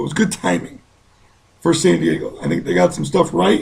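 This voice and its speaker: A man's somewhat breathy voice with very wide pitch swings. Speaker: fantasy football analyst host. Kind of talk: sports advice show.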